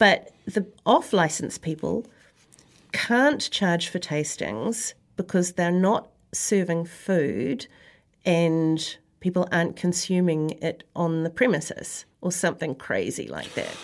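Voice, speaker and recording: A woman with a New Zealand accent talks at a very slow pace, her pitch fairly low with ordinary variation. The recording is very clean and the background silent. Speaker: podcast host and wine writer. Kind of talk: casual chat. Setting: studio.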